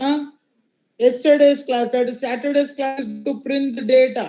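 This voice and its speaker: Intonation stays monotone and flat in a voice with a dark, mellow tone. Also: man. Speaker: programming teacher. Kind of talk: lecture. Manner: slow.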